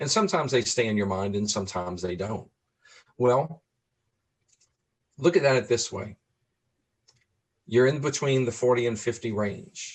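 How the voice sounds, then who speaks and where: With an American accent, a man at medium pitch talks at a moderate pace, somewhat breathy, with lively intonation and long, frequent pauses. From New Orleans, US South. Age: 60s. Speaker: person living with Alzheimer's, advocate. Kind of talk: interview conversation.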